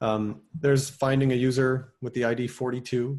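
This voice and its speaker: The voice belongs to a man with a medium pitch. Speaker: software developer presenting at a meetup. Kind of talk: technical talk. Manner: fast.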